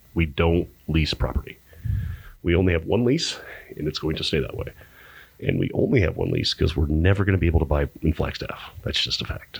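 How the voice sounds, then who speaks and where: Somewhat breathy, a man with an American accent talks at a fairly quick pace in a very deep, low pitch with ordinary pitch variation. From Arizona, Pinetop-Lakeside. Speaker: brewery sales director. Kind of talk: casual chat. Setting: studio.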